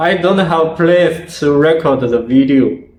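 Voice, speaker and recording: Speaking at a fairly slow pace with a non-native accent, a man with a fairly high pitch is heard amid audible room echo. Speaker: martial arts video creator. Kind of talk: Q&A interview. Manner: halting.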